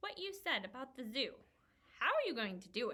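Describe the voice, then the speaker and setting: Putting on a character voice, a woman speaks fairly quickly at a high pitch. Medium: read story. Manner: sardonic, quick quips.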